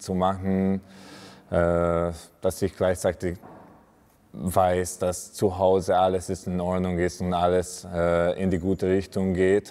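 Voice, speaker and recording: A man with a non-native accent speaks very slowly in a very deep, low pitch, his dark, mellow tone held in a monotone, flat intonation. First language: not German (speaking German). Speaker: handball player. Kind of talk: personal interview talk; interview answer. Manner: halting. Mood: calm, warm. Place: gym. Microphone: lapel.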